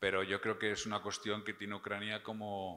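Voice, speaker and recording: A man's fairly low voice, bright and sharp in tone, with a monotone, flat delivery, on a very clean recording with a silent background. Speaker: prosecutor. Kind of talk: Q&A after keynote.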